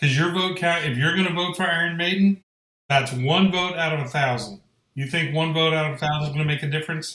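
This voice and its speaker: A man in a normal speaking voice at a fairly quick pace. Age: 50s. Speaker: podcast co-host. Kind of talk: casual chat.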